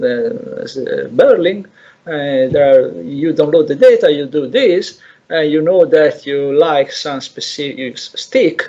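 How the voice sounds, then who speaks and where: A man speaks with an Italian accent and a dark, mellow tone. His pace is fairly slow, his intonation lively. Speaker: lecturer. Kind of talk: lecture. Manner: halting, many repetitions.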